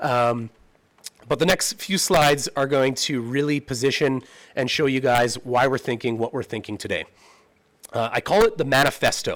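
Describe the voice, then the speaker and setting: A plain, everyday voice speaks with a Canadian accent at a moderate pace. Its pitch variation is ordinary. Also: man, medium pitch for a man. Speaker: presenter to town council. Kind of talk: presentation.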